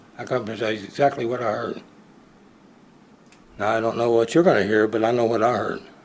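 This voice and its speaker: Very fast speech from a man at medium pitch, broken by long, frequent pauses, with audible room echo. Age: 80s+. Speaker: citizen speaker at public comment. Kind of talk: public comment at council meeting. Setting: council chamber. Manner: animated.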